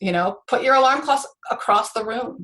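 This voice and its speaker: A woman speaks with lively intonation. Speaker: ADHD coach. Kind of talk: interview presentation. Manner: fast.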